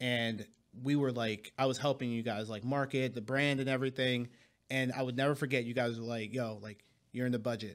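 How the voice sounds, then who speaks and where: A man in a Philadelphia accent talks at a fairly quick pace and medium pitch. His intonation is monotone and flat, recorded very cleanly over a silent background. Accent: Philadelphia American English. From Philadelphia, US. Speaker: financial advisor. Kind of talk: podcast interview, casual chat.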